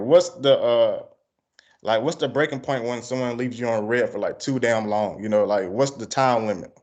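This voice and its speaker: Fairly quick speech in an American accent. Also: man. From Georgia, US South. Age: 30s. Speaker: interviewer, music channel host. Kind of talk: casual interview.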